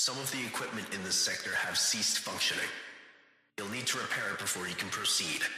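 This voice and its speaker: A put-on character voice at a fairly quick pace, with strong echo. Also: man. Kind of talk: PA announcement. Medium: solo performance. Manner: formal, clipped.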